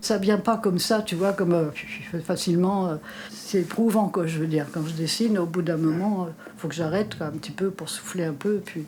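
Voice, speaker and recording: Against noticeable background noise, a woman speaks in a fairly low pitch with fairly even intonation. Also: moderate pace. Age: 80s+. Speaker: artist who draws. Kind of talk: interview answer.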